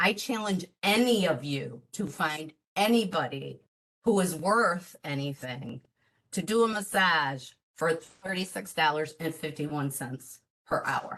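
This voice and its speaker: In a plain, everyday voice, a woman with fairly low pitch talks at a fairly slow pace with lively intonation. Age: 60s. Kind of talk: public comment at meeting.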